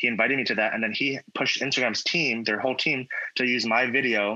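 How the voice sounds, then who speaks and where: The speaker has an American accent. The pace is fairly quick, with fairly even intonation. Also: man. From Virginia, US. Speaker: social media influencer and advocate. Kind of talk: interview conversation.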